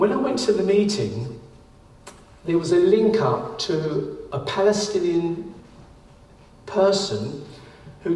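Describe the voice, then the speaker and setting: With a London accent, a man swings his pitch very widely over noticeable background noise and audible room echo. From London, East End. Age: 70s. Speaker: artist and volunteer teacher. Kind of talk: talk to a group.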